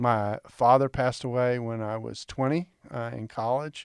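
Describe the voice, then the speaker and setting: A man speaks in a normal speaking voice at a medium pitch. His pitch varies in an ordinary way, and the sound is dry and close with no echo. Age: 60s. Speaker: biblical scholar. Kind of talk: interview.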